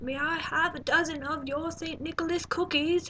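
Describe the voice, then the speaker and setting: Putting on a character voice, a woman projects at an extremely high pitch, moving at a moderate pace with fairly even intonation. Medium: read story.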